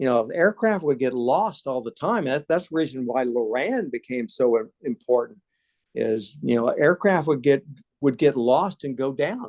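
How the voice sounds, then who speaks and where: A man speaks at a moderate pace with lively intonation and an ordinary speaking voice, the sound dry and close with no echo over a quiet background. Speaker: lecturer. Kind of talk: Q&A discussion; lecture. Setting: hybrid meeting, seated.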